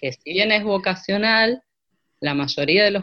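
A woman talks with ordinary pitch variation. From Argentina, Santa Rosa, La Pampa. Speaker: choir singer and vocal coach. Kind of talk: casual interview.

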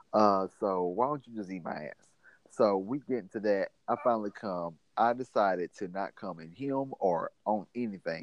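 In a Mississippi accent, the speaker goes at a moderate pace with ordinary pitch variation. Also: man, fairly low pitch for a man, big swings in loudness. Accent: US Southern (Mississippi). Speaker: podcast guest, friend of host. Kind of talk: casual chat.

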